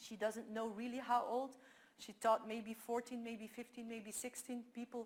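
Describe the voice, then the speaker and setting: A woman with a Dutch accent speaks at a fairly high pitch. Her pace is moderate. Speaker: photographer and documentary maker. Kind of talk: conference talk. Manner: halting, many fillers.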